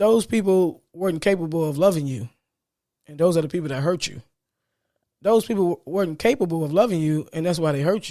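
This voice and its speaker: Pitched high for a man, his voice has a dark, mellow tone and moves at a fairly quick pace. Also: ordinary pitch variation. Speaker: podcast host. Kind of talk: motivational monologue. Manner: stuttering today; repetitive, emphatic.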